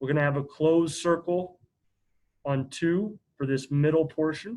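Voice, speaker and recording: A man with an ordinary speaking voice, fairly even intonation and a moderate pace. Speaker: math teacher. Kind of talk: lecture.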